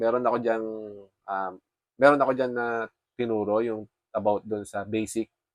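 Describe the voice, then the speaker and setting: A man at medium pitch, fairly slow pace and fairly even intonation, in a dry, close sound with no echo. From Philippines. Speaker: forex trader vlogger. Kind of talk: casual vlog update. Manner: halting.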